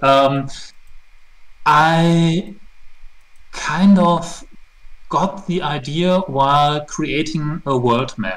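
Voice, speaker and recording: A man's very slow, fairly high voice in a German accent, with ordinary pitch variation, long, frequent pauses and audible room echo. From Germany. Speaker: tabletop RPG setting creator. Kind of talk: interview.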